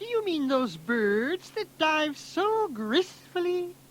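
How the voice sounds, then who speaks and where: This is a put-on character voice with a high pitch. It is loud. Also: fairly slow pace. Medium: read story. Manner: loud, hearty.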